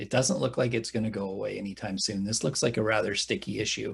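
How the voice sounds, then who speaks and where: A man speaks with a Canadian accent at a fairly low pitch. Vocal fry runs through his voice. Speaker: workshop organizer. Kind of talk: workshop introduction. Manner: hesitant, many fillers.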